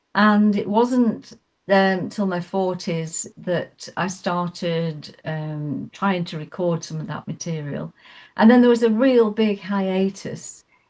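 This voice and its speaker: A woman with an English accent at a very slow pace, with big swings in loudness, on a very clean recording with a silent background. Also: medium pitch for a woman, ordinary pitch variation. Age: 70s. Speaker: singer-songwriter. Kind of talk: radio interview. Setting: studio. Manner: halting.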